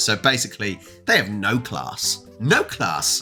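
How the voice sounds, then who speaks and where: A man with an English accent talks at a fairly slow pace, with music in the background. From England. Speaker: reaction YouTuber. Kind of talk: casual talk to camera.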